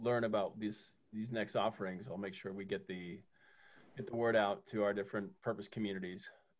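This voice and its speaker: A man's fairly low-pitched voice with fairly even intonation. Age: 40s. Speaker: podcast host. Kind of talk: interview. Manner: halting.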